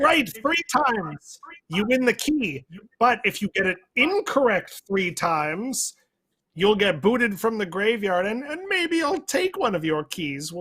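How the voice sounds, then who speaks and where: A put-on character voice, theatrical in tone, sits fairly high in pitch. It moves at a fairly slow pace with very wide pitch swings. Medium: actual play. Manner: hammy, theatrical.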